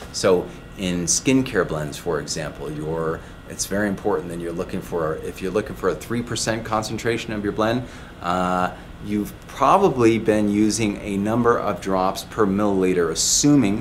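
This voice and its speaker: Against light background noise, the voice moves at a moderate pace with ordinary pitch variation. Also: man, fairly low pitch for a man. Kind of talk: explainer talk to camera. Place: shop.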